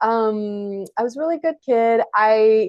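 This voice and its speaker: Pitched fairly high, a woman speaks with ordinary pitch variation in a dry, close sound with no echo. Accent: French. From France, Paris suburbs. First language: French. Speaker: author and journalist. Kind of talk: casual interview chat.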